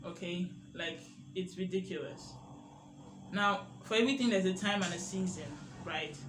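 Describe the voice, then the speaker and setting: Speaking at a moderate pace in an animated tone, a man with a high voice is heard with audible room echo. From Nigeria. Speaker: media literacy educator. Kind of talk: educational monologue.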